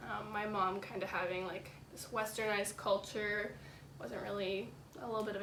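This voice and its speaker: A woman with a Canadian accent speaks at a fairly high pitch and a moderate pace. Noticeable background noise and audible room echo fill the recording. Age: young. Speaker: university student. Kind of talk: interview. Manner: hesitant, many fillers.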